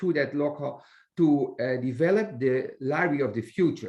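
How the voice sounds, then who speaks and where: With a Dutch accent, a man talks. His intonation is lively. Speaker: library director. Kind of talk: webinar interview. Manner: halting, many hesitations.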